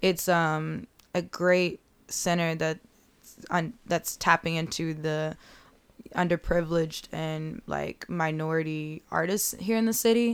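A woman speaks at a fairly slow pace in a fairly low voice, with ordinary pitch variation. The recording is very clean, with a silent background. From Chicago, South Side (Bronzeville). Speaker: art director and fine artist. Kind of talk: casual interview chat.

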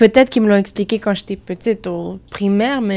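A woman speaks at a medium pitch and a moderate pace. The recording is very clean, with a silent background. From Montreal, Quebec. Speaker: student. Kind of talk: group discussion.

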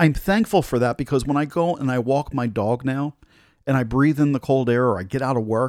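Captured in a dry, close, very clean recording with no echo and a silent background, a man with an American accent speaks at medium pitch with ordinary pitch variation. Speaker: radio host. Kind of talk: pep talk. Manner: animated; uplifting, encouraging.

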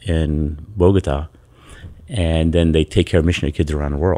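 A man speaks in a very deep, low pitch with fairly even intonation. His tone is dark and mellow. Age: 60s. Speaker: youth pastor. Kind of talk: casual chat.

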